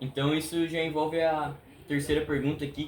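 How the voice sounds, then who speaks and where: Noticeable background noise under a man's moderate-paced speech, his pitch fairly high. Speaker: student interviewer. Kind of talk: interview for school assignment.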